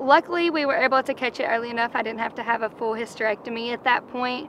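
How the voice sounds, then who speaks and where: There is noticeable background noise behind a woman with a Kentucky accent. Her fairly high voice keeps a fairly even intonation. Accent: Kentucky Southern US. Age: 20s. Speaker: reality show contestant. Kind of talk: interview.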